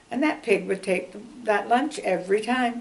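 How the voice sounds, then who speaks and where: A woman speaks at a moderate pace. Room echo can be heard around her voice. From Canada, Ontario (Ottawa). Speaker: longtime local resident. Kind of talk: oral history interview. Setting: interview. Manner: chatty, many fillers.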